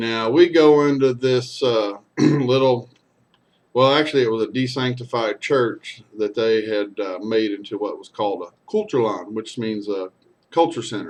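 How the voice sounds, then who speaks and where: Speaking with a Texan accent, a man talks at a medium pitch and a moderate pace. His pitch varies in an ordinary way while his loudness swings widely. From Texas. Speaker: storyteller and singer. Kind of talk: casual storytelling monologue.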